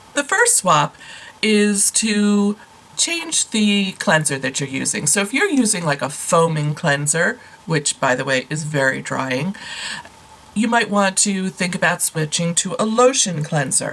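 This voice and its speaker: Over noticeable background noise, a woman with a medium pitch speaks fairly slowly, her intonation lively. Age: 60s. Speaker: beauty vlogger. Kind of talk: tutorial. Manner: casual, conversational.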